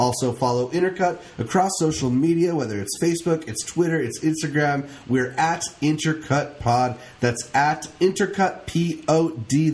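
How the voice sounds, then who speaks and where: Using a normal speaking voice, a man talks at a fairly slow pace with a fairly high pitch and ordinary pitch variation. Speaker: podcast co-host. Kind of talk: casual podcast banter.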